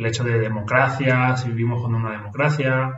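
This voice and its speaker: This is a man's voice at a medium pitch. The intonation stays monotone and flat. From Venezuela, moved to Spain at seven. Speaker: nurse. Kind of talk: casual interview conversation. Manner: halting, with many repetitions.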